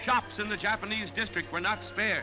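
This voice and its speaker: Music plays behind a man speaking in a dramatic tone. His voice is raised and projected. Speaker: newsreel narrator. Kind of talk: wartime newsreel narration. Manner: dramatic, emphatic.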